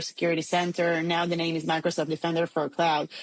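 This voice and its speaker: A woman speaks with an Israeli accent. Her pitch sits fairly low. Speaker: tech startup CEO. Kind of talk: podcast interview.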